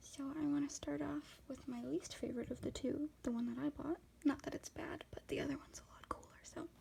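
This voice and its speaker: The speaker is a soft-spoken woman. She talks at a fairly quick pace. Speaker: ASMR content creator. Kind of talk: ASMR makeup swatching video, casual talk to camera.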